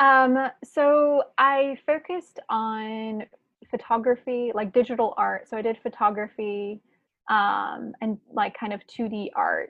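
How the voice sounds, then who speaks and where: With an American accent, a woman talks at a very slow pace, her fairly high pitch showing ordinary variation. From US South, Chapel Hill, North Carolina. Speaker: designer and musician. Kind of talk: casual chat.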